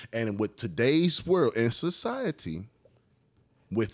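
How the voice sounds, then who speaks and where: A man's medium-pitched voice at a moderate pace, with very wide pitch swings, over a quiet background. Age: 30s. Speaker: podcast co-host. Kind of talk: casual chat. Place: home room. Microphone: studio mic.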